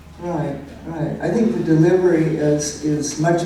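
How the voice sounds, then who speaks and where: Over noticeable background noise, the speaker talks at a fairly slow pace with fairly even intonation. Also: woman. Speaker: cowboy poet. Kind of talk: Q and A answer.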